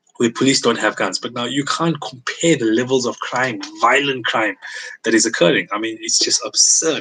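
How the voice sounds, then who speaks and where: Speaking at a moderate speed, a man has a medium-pitched voice. His pitch moves in an ordinary way over clearly audible background noise. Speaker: firearms trainer and gun shop worker. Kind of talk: live online Q&A session. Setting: online livestream. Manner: halting, repetitive.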